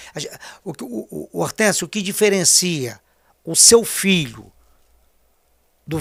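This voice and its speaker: A man's fairly high voice at a fairly slow pace, on a very clean recording with a silent background. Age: 60s. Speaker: politician. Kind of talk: interview.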